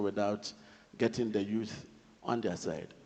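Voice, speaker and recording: A man with a Ghanaian accent speaks at a medium pitch in a dark, mellow tone. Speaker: government official. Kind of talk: panel discussion. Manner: formal.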